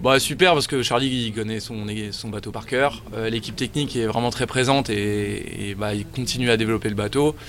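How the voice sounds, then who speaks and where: Over noticeable background noise, a man of medium pitch talks at a moderate pace with fairly even intonation. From France, Paris region. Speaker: offshore sailor. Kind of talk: interview.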